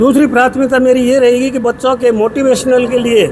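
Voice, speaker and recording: A man speaks at an extremely high pitch. There is noticeable background noise. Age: 70s. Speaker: retired police officer, newly elected community association president. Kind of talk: media interview.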